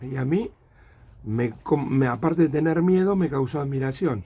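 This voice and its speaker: This man's voice sits fairly high. His delivery is moderately paced. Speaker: witness sharing memories. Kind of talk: testimony.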